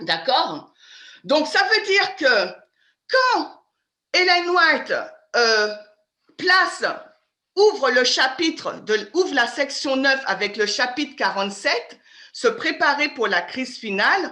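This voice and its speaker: A woman with a high, bright, sharp voice speaks very slowly, raised and projected, her pitch swinging very widely. Her loudness varies greatly, and she takes long, frequent pauses. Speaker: Bible study teacher. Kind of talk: interactive Bible study lecture. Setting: video call.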